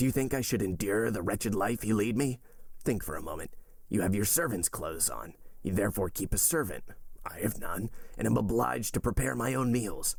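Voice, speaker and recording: Using a put-on character voice, a man talks at a fairly quick pace with a raspy, fairly low pitch and lively intonation. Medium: read story.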